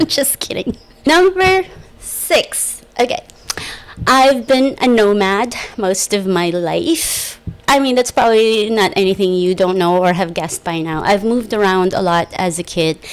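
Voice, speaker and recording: With an American accent, a woman speaks at a fairly slow pace with lively intonation over noticeable background noise. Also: medium pitch for a woman. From small island village, outside the US. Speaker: podcast host. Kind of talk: casual monologue. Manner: loud; chatty, with many fillers.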